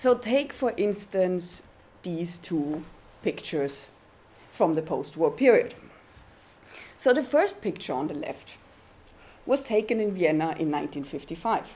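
A woman with a German accent, medium pitch and a dark, mellow tone, at a fairly slow pace with long, frequent pauses and very wide pitch swings. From Austria. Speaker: university research fellow. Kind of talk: lecture.

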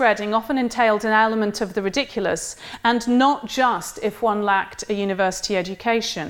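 Natural-voiced reading aloud

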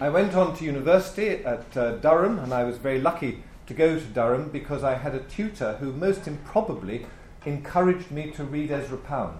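Using an RP accent, a man talks at a fairly quick pace with a fairly high pitch and lively intonation. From England, Birmingham. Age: 60s. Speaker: historian. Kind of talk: conference lecture. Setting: stage with audience.

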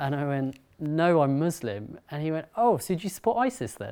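A man with a London accent speaks at a moderate pace, his voice fairly high with a dark, mellow tone. The recording is very clean, with a silent background. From North London, England. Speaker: writer and speaker. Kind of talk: talk to an audience.

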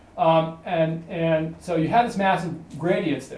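Noticeable background noise and audible room echo both color the recording. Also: man. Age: 50s. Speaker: researcher giving a talk on Ebola ecology. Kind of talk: lecture. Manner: halting, many fillers and repetitions.

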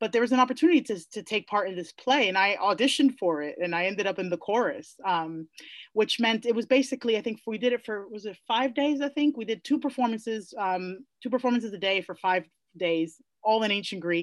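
Fairly high-pitched, a woman talks at a fairly quick pace with lively intonation against a quiet background. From New York City, the Bronx. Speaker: classics professor. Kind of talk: interview. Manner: halting.

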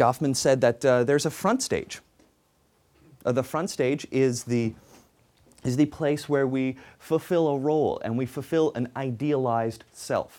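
Over a silent background on a very clean recording, a man speaks at medium pitch with fairly even intonation and a fairly slow pace, leaving long, frequent pauses. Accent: Canadian. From Canada. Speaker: sociologist. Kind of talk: lecture. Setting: stage with audience. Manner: halting.

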